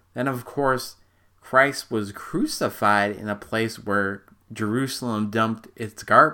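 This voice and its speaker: Very slow and bright, sharp in tone, a man with an American accent speaks at medium pitch with fairly even intonation on a very clean recording with a silent background. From Minnesota. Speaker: podcast host, amateur theology teacher. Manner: halting, many fillers and restarts; casual, humorous.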